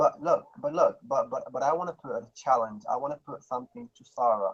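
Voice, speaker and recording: A man with an Arabic accent speaks at a fairly quick pace with hardly any pauses. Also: big swings in loudness. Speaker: panel member. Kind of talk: live stream debate.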